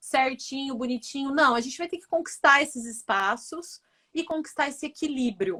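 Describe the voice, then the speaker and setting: Here a woman speaks in a high pitch at a moderate pace. Her pitch variation is ordinary. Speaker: business professor. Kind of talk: interview conversation.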